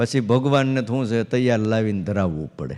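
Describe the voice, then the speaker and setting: This man has an ordinary speaking voice at medium pitch with ordinary pitch variation, captured in a very clean recording against a silent background. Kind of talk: religious discourse.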